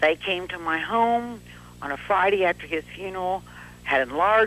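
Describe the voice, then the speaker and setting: A woman speaks at a moderate pace in a fairly low pitch, with ordinary pitch variation and vocal fry. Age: 60s. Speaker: widow caller. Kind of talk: call-in testimony. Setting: phone call.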